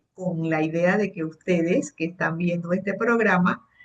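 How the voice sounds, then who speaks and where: A woman's voice at medium pitch. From Panama. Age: 60s. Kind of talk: interview. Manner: hesitant, many fillers.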